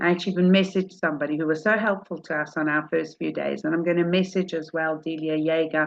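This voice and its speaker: Very fast, hardly any pauses, a woman's very deep, low pitch with monotone, flat intonation in a South African accent. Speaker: rebbetzin, religious teacher. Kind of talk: religious talk. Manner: informal, conversational.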